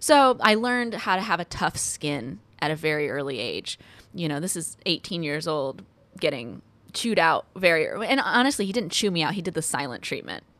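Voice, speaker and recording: In a very clean recording with a silent background, a woman with an American accent talks at a fairly quick pace, her fairly low voice making very wide pitch swings. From Texas, Houston. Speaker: film camera assistant. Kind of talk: casual interview.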